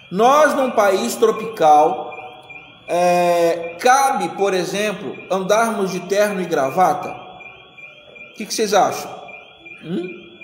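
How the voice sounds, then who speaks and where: The speech moves at a very slow pace with lively intonation. There is audible room echo and noticeable background noise. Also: man. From Rio de Janeiro, Brazil. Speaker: pastor or Sunday school teacher. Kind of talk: Sunday school bible study lecture.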